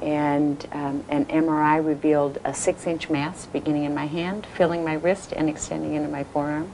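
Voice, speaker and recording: A woman with a very deep, low voice speaks in a flat monotone at a moderate pace, hardly pausing, over noticeable background noise. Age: 60s. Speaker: cancer survivor, amputee. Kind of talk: testimony. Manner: hesitant, many fillers.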